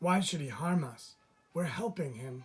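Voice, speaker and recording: This man puts on a character voice at a fairly high pitch. He speaks at a moderate pace. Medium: read story.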